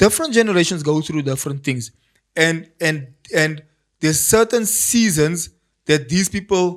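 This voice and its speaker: A man talks in a high pitch with an animated tone. His pace is moderate and his pitch varies in an ordinary way. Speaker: pastor. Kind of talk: podcast interview.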